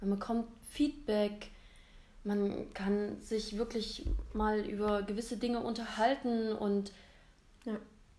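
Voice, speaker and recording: Very slow in pace, a woman speaks with fairly even intonation and long, frequent pauses. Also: fairly high pitch for a woman. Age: 30s. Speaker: photographer, stylist and coach. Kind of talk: casual chat. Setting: recording together in Zwickau.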